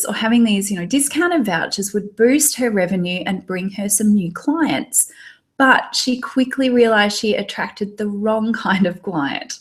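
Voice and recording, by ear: A somewhat breathy woman's voice with an Australian accent, fairly high in pitch, with lively intonation at a moderate pace, in a very clean recording with a silent background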